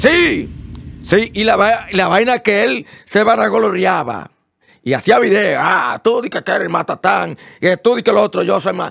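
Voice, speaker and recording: A man talks with a Dominican accent. He keeps a fairly slow pace. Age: old. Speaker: online show host. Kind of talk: comedic rant. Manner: loud; animated.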